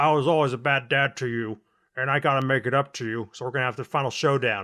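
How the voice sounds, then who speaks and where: A man's put-on character voice, medium in pitch, very fast, with fairly even intonation. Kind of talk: plain, ordinary. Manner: earnest, apologetic.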